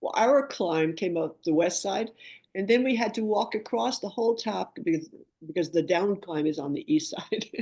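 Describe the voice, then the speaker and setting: A woman with an American accent speaks at a moderate pace in a dark, mellow tone and a medium pitch. Her pitch swings very widely, and the background is quiet. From New York City. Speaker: mountain climber. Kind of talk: podcast interview.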